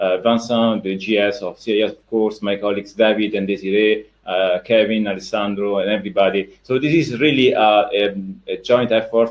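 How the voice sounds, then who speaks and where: A man with an Italian accent speaks at a fairly low pitch. He moves at a fairly quick pace with hardly any pauses. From Italy. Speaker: sports education manager. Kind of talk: webinar presentation. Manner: hesitant, many fillers.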